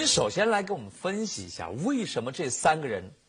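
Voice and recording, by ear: A natural voice reading aloud, the intonation lively.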